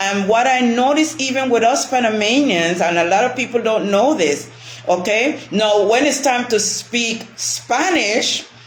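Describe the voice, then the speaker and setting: Over noticeable background noise and audible room echo, a woman speaks at a fairly slow pace. Her fairly high voice has lively intonation and very even loudness. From Panama, West Indian-descended family. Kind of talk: casual chat.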